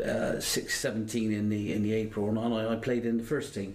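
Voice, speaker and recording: A man with a medium-pitched voice is heard with audible room echo and noticeable background noise. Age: 60s. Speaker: retired footballer. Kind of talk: casual interview. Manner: halting.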